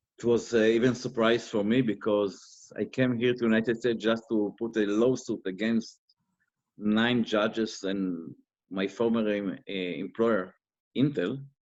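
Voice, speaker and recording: A man's medium-pitched voice with a non-native accent, fairly slow delivery and fairly even intonation. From Israel. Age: 50s. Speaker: interviewee, former investigator. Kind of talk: interview. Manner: halting.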